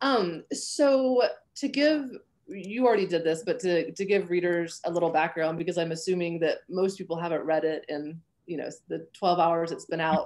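Her voice is an ordinary speaking voice, fairly low in pitch for a woman, with lively intonation and a moderate pace. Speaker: novelist and professor. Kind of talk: interview. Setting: video call.

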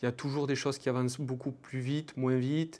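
With monotone, flat intonation, a man talks at a moderate pace. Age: 20s. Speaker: PhD student researcher. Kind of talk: interview testimony. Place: studio. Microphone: lapel.

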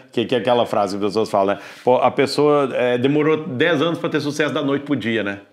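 A man speaks very fast while the background stays quiet. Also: ordinary pitch variation. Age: 40s. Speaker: podcast host. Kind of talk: casual interview chat. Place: studio. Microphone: lapel.

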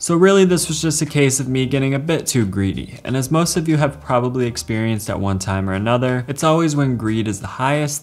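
Talking at a very fast pace, a man's voice swings very widely in pitch. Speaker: finance youtuber. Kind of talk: explainer commentary to camera. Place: home room.

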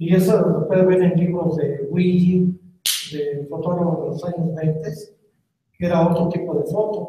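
Over light background noise and audible room echo, a man talks at a fairly slow pace in a high, monotone voice with flat intonation. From Mexico City. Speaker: veteran crime photojournalist. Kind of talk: public talk. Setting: museum auditorium with live audience. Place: hall.

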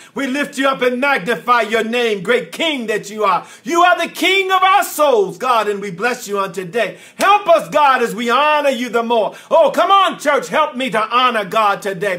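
A man speaks in a raised, projected voice with a bright, sharp tone and an animated tone, and his pitch swings very widely. He keeps a moderate pace with hardly any pauses. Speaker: pastor. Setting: recorded prayer broadcast to viewers at home. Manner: animated, rising preacher cadence with repeated refrains; impassioned, breathless repetition of praise phrases. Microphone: studio mic.

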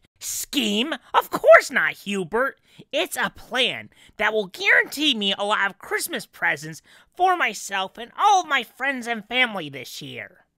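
This is a put-on character voice at a moderate pace. It sits fairly high with very wide pitch swings. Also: female-sounding voice.

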